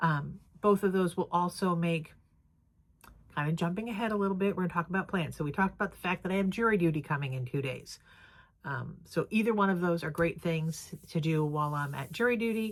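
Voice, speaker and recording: A woman speaks in an American accent with a fairly low pitch and ordinary pitch variation. Her pace is fairly quick, and it is an unremarkable speaking voice. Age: 60s. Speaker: crafting vlogger. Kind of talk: casual vlog chat. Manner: casual, filler-heavy.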